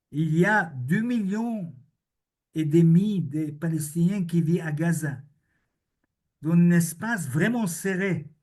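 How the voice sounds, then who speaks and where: In a room with audible echo, a man with a high voice speaks very slowly, pausing long and often, his pitch varying an ordinary amount. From Israel. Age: 70s. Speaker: historian and author. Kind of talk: conference Q&A answer. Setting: video link to public conference.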